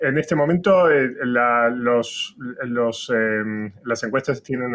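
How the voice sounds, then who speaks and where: The speaker has an Argentine accent. Pitch variation is ordinary. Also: man. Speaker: political science professor. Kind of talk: interview. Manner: halting, many fillers.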